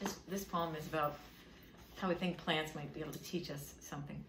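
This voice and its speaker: A woman talks at a fairly quick pace, her pitch fairly low with ordinary variation. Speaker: poet and author reading her own book. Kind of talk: casual talk introducing poems to an audience.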